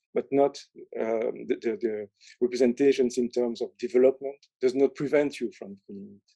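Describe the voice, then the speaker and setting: Recorded with a dry, close sound and no echo, a man of medium pitch speaks at a moderate pace in a dark, mellow tone with fairly even intonation. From Belgium. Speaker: professor. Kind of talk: lecture. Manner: halting.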